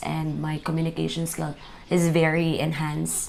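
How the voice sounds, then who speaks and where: Her pitch is fairly low for a woman. She speaks at a moderate pace. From Philippines. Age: 20s. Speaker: student and Sunday school teacher. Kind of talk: interview.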